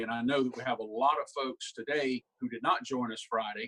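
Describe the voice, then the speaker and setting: At a moderate pace, a man with a Southern US accent speaks in a medium pitch with monotone, flat intonation, the sound dry and close with no echo. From South Carolina. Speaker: humorist and professional speaker. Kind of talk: humorous keynote talk. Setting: video call.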